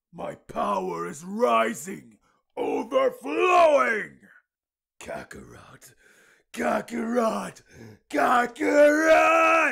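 Pausing long and often, a man delivers his lines in a put-on character voice at a very slow pace. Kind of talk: character voice challenge. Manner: menacing, building to screaming.

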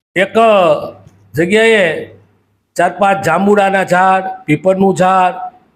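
With fairly even intonation, a man talks in a high-pitched voice. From Saurashtra, Gujarat (Surendranagar district). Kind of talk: nostalgic storytelling monologue.

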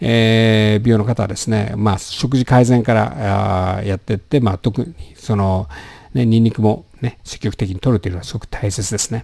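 Over a quiet background, a man with a dark, mellow tone and fairly low pitch speaks at a moderate pace with ordinary pitch variation, the sound dry with no echo. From Japan. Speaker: doctor; health channel host. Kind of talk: health education talk with slides. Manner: casual, many filler words. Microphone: studio mic.

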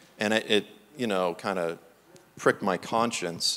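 Someone speaks at a moderate pace with an American accent. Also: man. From Massachusetts. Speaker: preacher and author. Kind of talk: sermon. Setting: church. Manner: animated. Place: church.

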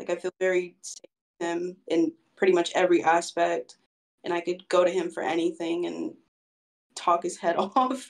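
A woman with a fairly low pitch talks at a moderate pace, with long, frequent pauses and big swings in loudness. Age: 20s. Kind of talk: casual interview. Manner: halting, many fillers.

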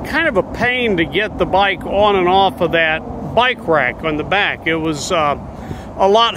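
A high-pitched man speaks at a moderate pace with ordinary pitch variation, in a dry sound with no echo over light background noise. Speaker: recreational cyclist vlogger. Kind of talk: casual vlog chat. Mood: relaxed, chatty. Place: waterside. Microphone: phone near.

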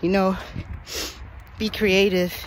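A woman's flat, monotone voice at a moderate pace, dry with no echo, over light background noise. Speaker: footballer giving a workout tutorial. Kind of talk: tutorial.

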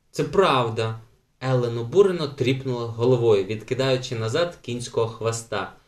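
A natural reading voice carries the whole clip.

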